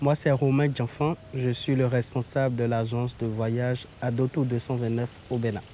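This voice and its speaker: A man's dark, mellow, medium-pitched voice, fairly slow, with a monotone, flat intonation. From Benin. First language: Beninese local language (speaking French). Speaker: travel agency owner. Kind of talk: interview. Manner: halting.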